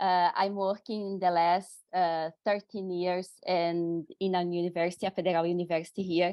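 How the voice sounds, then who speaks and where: A woman with a Brazilian accent and a fairly low pitch speaks at a moderate pace in monotone, flat intonation. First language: Portuguese. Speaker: university researcher. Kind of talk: panel discussion.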